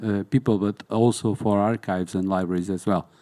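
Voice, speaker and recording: Dark and mellow in tone, the voice carries a Portuguese accent and fairly even intonation, with a dry, close sound, no echo, and a very clean recording over a silent background. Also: man. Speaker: museum documentation specialist. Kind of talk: panel discussion. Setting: conference hall with audience. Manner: halting.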